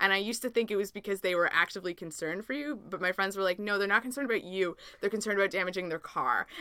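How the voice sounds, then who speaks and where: A woman with a Canadian accent at a medium pitch with ordinary pitch variation, bright and sharp in tone, at a very fast pace with hardly any pauses. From Canada. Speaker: Canadian working abroad in India. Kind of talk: casual chat.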